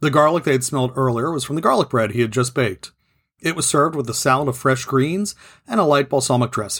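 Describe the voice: Plain reading aloud with ordinary pitch variation comes through against a quiet background.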